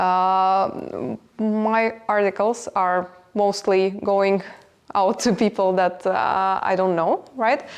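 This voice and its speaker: Against a quiet background, a woman with a non-native accent speaks at a very slow pace, with a medium pitch, fairly even intonation and very even loudness. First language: not English. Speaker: business executive. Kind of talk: podcast interview. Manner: halting, many fillers.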